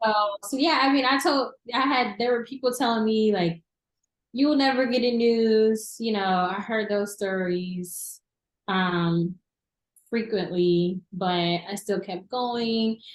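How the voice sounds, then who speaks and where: A woman's fairly high voice with an American accent at a very slow pace, with ordinary pitch variation and long, frequent pauses. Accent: Southern, toned down. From US South, southern Arkansas. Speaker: TV news reporter. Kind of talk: casual interview. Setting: studio.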